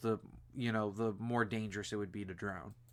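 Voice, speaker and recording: A man talks at a medium pitch. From Michigan, US Midwest. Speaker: podcast host. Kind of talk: casual chat.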